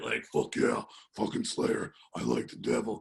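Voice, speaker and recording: Putting on a character voice, a man growls in a raspy tone at a moderate pace. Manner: aggressive.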